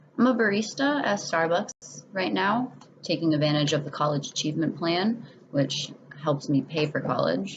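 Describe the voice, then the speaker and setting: A woman's very deep, low voice with an American accent, very wide pitch swings, very even loudness and a moderate pace, over noticeable background noise. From New England, western Massachusetts (Springfield). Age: 20s. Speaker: student. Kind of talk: self-introduction video.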